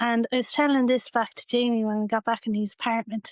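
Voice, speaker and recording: A woman with a Waterford Irish accent talks at a fairly quick pace and fairly high pitch in a flat monotone, the sound dry and close with no echo against a quiet background. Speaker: bereaved sister. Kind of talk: testimony. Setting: her home.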